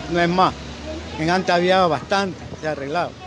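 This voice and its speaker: Against noticeable background noise, a man with a high pitch speaks in fairly even intonation. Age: 60s. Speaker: shoemaker. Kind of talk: interview.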